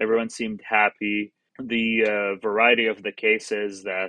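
Speaking at a moderate pace, a man with an Arabic accent has a fairly low pitch. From Middle East (Jordanian, raised in Qatar). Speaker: surgical fellow. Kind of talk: interview.

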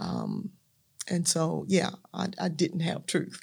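A woman talks with a Southern US accent. Her pace is very slow. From US South, Natchez, Mississippi. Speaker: minister and evangelist. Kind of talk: testimony.

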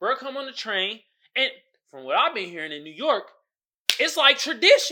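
A woman's high, bright and sharp voice in an American accent, raised and projected, animated in tone with very wide pitch swings, on a very clean recording with a silent background. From San Francisco Bay Area, Oakland. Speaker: podcaster. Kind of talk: casual commentary rant.

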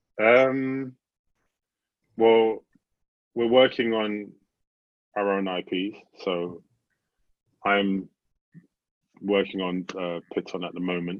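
Speaking at a very slow pace, a man with a British accent leaves long, frequent pauses. His pitch is fairly low, with ordinary variation. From UK. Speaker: animator and studio co-founder. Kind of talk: casual interview.

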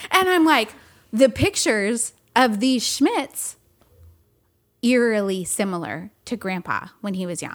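A woman with an American accent speaks at a fairly slow pace with long, frequent pauses and a fairly high pitch. Her pitch swings very widely and her loudness shifts a lot. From California. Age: 40s. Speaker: podcast co-host. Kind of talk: casual chat. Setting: home studio. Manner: laughs often.

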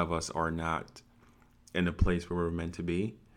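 This man talks in a very deep, low pitch and keeps a moderate pace. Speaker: podcast host. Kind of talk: casual chat.

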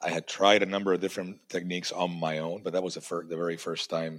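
A man speaks in a very deep, low pitch. His intonation stays monotone and flat. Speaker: podcast host. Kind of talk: casual interview. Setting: video call.

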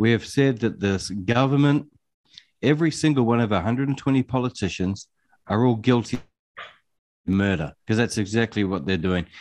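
A man with a New Zealand accent at a medium pitch and moderate pace, with lively intonation, very even loudness, long, frequent pauses and a quiet background. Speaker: podcast co-host. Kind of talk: interview.

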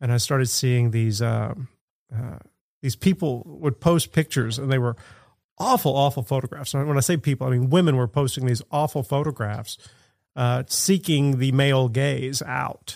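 In a very clean recording with a silent background, a man with an American accent uses a normal speaking voice at a medium pitch and moderate pace, with ordinary pitch variation. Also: dry, close sound with no echo. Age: 50s. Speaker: street artist and art teacher. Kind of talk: casual chat.

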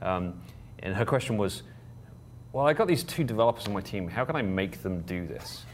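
A man with an English accent talks at a very fast pace in a very deep, low voice with vocal fry and very wide pitch swings, with audible room echo. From England. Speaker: board chair of a professional association. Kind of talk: casual interview. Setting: conference venue.

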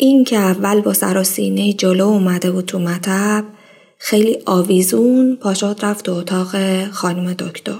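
A woman talks at a moderate pace and medium pitch in a plain, everyday voice. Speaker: podcast host. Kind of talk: personal storytelling monologue.

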